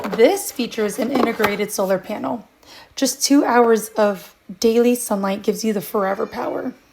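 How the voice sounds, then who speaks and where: A woman with a fairly high pitch talks at a moderate pace as noticeable background noise goes on. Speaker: product reviewer. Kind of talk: product review.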